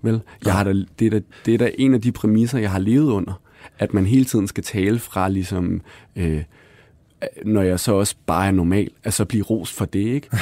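At a moderate pace with long, frequent pauses, a man speaks in a fairly low, dark, mellow voice with dry, close sound and no echo. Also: ordinary pitch variation, very clean recording, silent background. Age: 30s. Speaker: author. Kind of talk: interview conversation.

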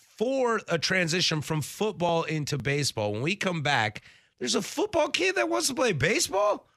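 In a very clean recording with a silent background, a man with a high pitch and a bright, sharp tone talks at a moderate pace, his pitch swinging very widely. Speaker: sports radio host. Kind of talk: casual chat. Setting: studio. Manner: enunciates clearly.

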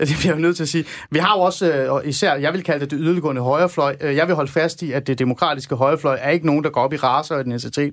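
Very fast, nearly pause-free speech from a man with a fairly high pitch and fairly even intonation. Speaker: radio host. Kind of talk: live radio debate. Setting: studio.

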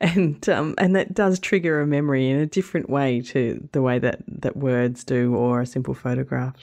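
In an Australian accent, a woman speaks with a very deep, low pitch and a dark, mellow tone against a quiet background. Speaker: travel podcast host and blogger. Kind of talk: podcast narration between interviews.

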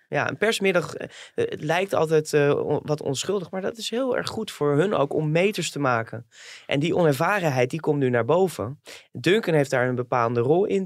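Pitched fairly high, a man with an ordinary speaking voice keeps to a moderate pace. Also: very clean recording, silent background. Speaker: entertainment reporter. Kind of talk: casual chat.

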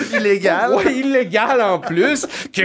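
A man's lively intonation amid noticeable background noise. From Montreal, Quebec. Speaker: comedy writer. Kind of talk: casual chat.

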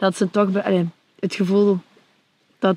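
A woman speaks fairly slowly in a Belgian Limburg accent, her intonation monotone and flat. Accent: Flemish (Limburg) Dutch. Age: 20s. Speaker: reality show contestant. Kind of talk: casual interview.

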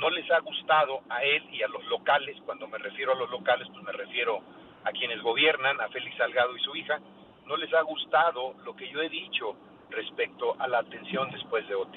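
The voice moves at a moderate pace with big swings in loudness, over noticeable background noise. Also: man. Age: 60s. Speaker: former state governor, politician. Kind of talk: radio interview. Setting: phone call.

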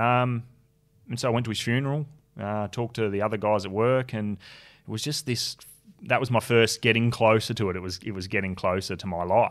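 At a fairly quick pace, a man with an Australian accent talks at medium pitch with fairly even intonation on a very clean recording with a silent background. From Tasmania, Australia. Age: 30s. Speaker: construction worker and suicide prevention advocate. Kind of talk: interview.

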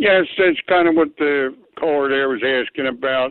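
A man speaks in a plain, everyday voice. His pitch sits fairly high, with ordinary variation. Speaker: caller. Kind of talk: call-in comment. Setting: phone call.

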